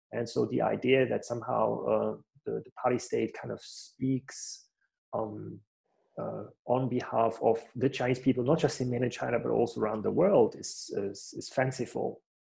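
A man with a German accent, his voice showing big swings in loudness. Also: moderate pace. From Germany. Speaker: academic researcher. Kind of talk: panel discussion. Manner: hesitant, many fillers.

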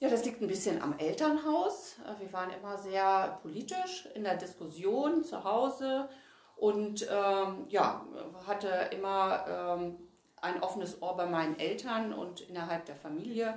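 Lively intonation comes through at a fairly slow pace, with audible room echo and noticeable background noise. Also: woman, medium pitch for a woman. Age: 50s. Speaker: state politician. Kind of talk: interview. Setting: party offices.

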